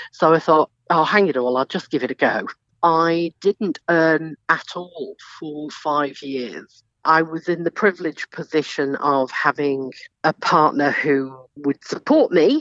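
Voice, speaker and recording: The sound is dry and close with no echo as a woman with a very deep, low pitch speaks fairly slowly, with ordinary pitch variation. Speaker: doctor and former journalist. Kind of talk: interview.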